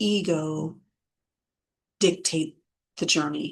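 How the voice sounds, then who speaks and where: A woman talks very slowly, her pitch varying in an ordinary way. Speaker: spiritual content creator. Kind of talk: spiritual talk with oracle card reading.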